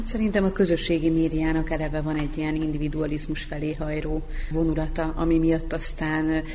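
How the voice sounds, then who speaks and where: A woman speaks at a fairly quick pace in a very deep, low pitch, with audible room echo and noticeable background noise. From Vojvodina, Serbia. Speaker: literary magazine editor-in-chief. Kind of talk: radio panel discussion.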